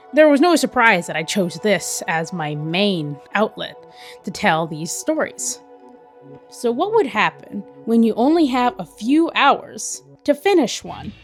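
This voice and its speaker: Over background music, a woman talks at a fairly slow pace, her fairly high pitch swinging very widely. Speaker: animator, artist. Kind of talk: YouTube voiceover narration.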